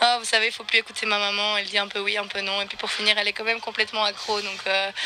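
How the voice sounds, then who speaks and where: Noticeable background noise accompanies a woman's fairly high voice in a flat monotone. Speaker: equestrian eventing rider. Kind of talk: post-competition interview. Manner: hesitant, many fillers.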